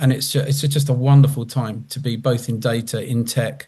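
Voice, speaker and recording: This man's voice sits at a medium pitch and sounds somewhat breathy. He keeps to a moderate pace. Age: 60s. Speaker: customer panelist, data leader. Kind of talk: panel discussion. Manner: animated.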